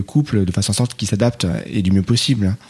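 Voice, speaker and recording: Ordinary pitch variation from a man with a fairly low pitch. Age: 30s. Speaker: IT technical coordinator and father. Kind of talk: casual interview. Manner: hesitant.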